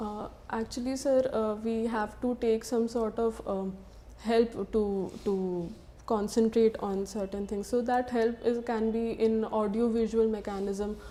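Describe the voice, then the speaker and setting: A woman speaks at a fairly slow pace in a fairly high pitch, her intonation flat and monotone. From Bihar, India. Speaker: civil service candidate. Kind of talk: mock job interview. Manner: halting.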